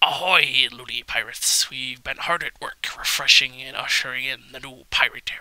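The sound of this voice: A put-on, raspy character voice, low-to-middle in pitch, at a moderate pace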